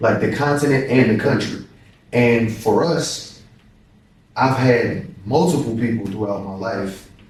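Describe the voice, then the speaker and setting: A man talks at a fairly slow pace in a medium-pitched, somewhat breathy voice with ordinary pitch variation. Long, frequent pauses break up his speech, and audible room echo surrounds it. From Louisville, Kentucky. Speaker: professional basketball player. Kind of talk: casual interview.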